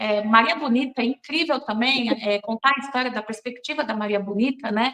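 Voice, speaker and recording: A woman talks at a moderate pace in a high pitch. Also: ordinary pitch variation. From Brazilian Northeast, raised in São Paulo. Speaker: film director. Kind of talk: interview.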